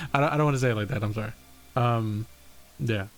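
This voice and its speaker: A man talks with an American accent. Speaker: streamer and setting creator. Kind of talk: casual livestream chat. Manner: casual, halting with many fillers.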